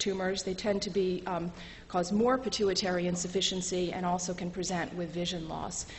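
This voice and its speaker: There is audible room echo and noticeable background noise. A woman speaks with a fairly low pitch. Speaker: medical lecturer. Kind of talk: lecture. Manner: fast.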